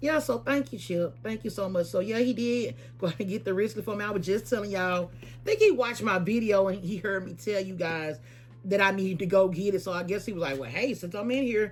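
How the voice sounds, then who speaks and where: Talking at a very fast pace, a woman with medium pitch and vocal fry uses lively intonation. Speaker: lifestyle and shopping vlogger. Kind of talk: casual vlog talk to camera. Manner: hesitant, many fillers and repeats.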